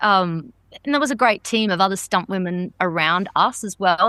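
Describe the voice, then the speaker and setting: A woman in an Australian accent speaks with a bright, sharp tone at a medium pitch, ordinary pitch variation and a moderate pace, over a quiet background. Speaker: stunt performer. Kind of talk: interview answer.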